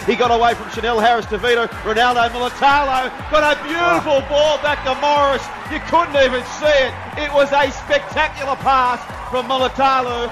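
With music in the background, a man with an Australian accent speaks at an extremely high pitch. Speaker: rugby league commentator. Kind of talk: live play-by-play rugby league highlights commentary. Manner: rapid-fire, clipped name-by-name play calling; rising excitement with exclamations at tries.

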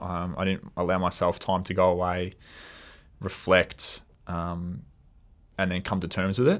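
This man's voice sits very deep and low, carrying an Australian accent at a moderate pace. The recording is very clean, with a silent background. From Australia, Melbourne. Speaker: football coach. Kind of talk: interview. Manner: halting, many fillers.

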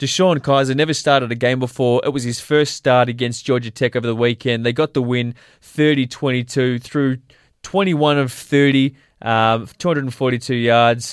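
A man with an ordinary speaking voice talks at a moderate pace with fairly even intonation and medium pitch. The recording is very clean, with a silent background. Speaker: sports radio host. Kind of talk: casual sports chat.

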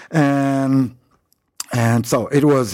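Speaking with a French accent, a man has a dark, mellow tone. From France, Paris. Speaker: winemaker. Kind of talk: interview. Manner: halting.

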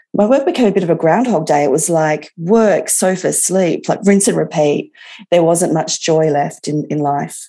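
With an Australian accent, a woman speaks at a moderate pace in a fairly low voice with a dark, mellow tone and ordinary pitch variation. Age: 40s. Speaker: patient with chronic arthritis. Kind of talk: interview testimony.

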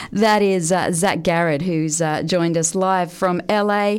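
A woman with an Australian accent, fairly low in pitch, at a fairly slow pace with fairly even intonation. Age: 40s. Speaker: radio host. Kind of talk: casual chat.

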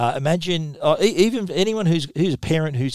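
A man with an Australian accent, recorded very clean against a silent background, in a dry, close sound with no echo. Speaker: tech journalist and podcast host. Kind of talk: solo tech podcast monologue.

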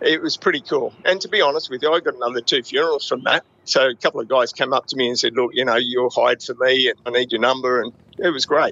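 A man with an Australian accent at a very fast pace. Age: 50s. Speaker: private investigator. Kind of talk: interview. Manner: casual.

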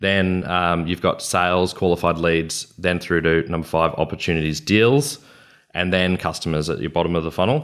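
At a moderate pace and with ordinary pitch variation, the speaker uses an Australian accent on a very clean recording with a silent background. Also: man, very deep, low pitch for a man. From Queensland, Australia. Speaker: business consultant. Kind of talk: interview. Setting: studio.

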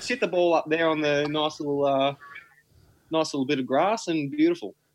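At a moderate pace, a man with an Australian accent speaks in a fairly high pitch. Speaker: podcast co-host. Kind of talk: casual chat. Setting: video call.

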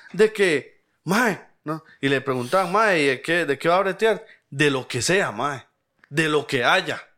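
Very slowly, a man speaks with a Costa Rican accent, a bright, sharp tone and lively intonation. The recording is very clean, with a silent background. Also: fairly high pitch for a man. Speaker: podcast co-host. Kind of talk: casual chat.

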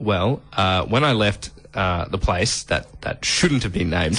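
In an Australian accent, a man talks at a fairly low pitch. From Adelaide, South Australia. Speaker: radio host. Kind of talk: casual radio banter.

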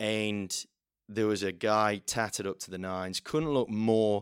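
Speaking with an English Midlands accent, a man with a fairly low pitch uses an animated, energetic tone at a fairly slow pace on a very clean recording with a silent background. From central England. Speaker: auctioneer. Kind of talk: casual interview chat.

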